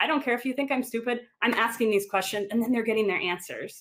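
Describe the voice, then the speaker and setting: Speaking at a very fast pace, a woman uses an American accent. Her pitch is fairly high. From Wisconsin. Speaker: design manager, conference speaker. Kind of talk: Q&A after a presentation. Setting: video call, virtual conference. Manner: animated.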